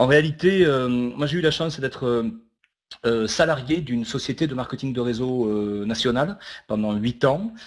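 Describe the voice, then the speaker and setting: A man with a Toulouse accent speaks at a moderate pace and medium pitch, with ordinary pitch variation. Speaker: network marketing speaker. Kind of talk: online webinar talk. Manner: hesitant, many filler sounds.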